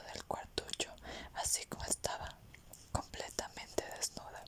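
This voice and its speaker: A whisper at a fairly slow pace, noticeable background noise behind it. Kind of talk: whispered audiobook reading (ASMR). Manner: whispered.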